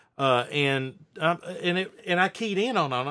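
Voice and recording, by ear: A man with a high pitch speaks in a fairly bright tone and lively intonation. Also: very clean recording, silent background.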